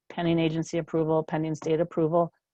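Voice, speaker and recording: A woman's fairly low voice at a fairly quick pace. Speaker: state policy specialist presenting a training webinar. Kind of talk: webinar presentation. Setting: webinar. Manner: fast.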